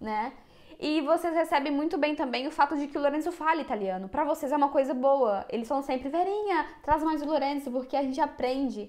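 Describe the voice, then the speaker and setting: This woman's high pitch shows ordinary pitch variation as she talks at a fairly quick pace. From Brazil. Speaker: YouTuber. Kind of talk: casual chat. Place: home room. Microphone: lapel.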